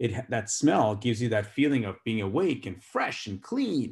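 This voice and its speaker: A man with an unremarkable speaking voice talks at a medium pitch and moderate pace. The recording is very clean, with a silent background. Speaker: physician giving a medical talk. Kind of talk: lecture.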